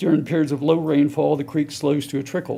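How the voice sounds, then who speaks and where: With an American accent, a man speaks at a fairly quick pace in a fairly high pitch, his dark, mellow tone carrying vocal fry and a monotone, flat intonation. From US South, Chapel Hill, North Carolina. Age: 60s. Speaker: public commenter. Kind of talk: public comment.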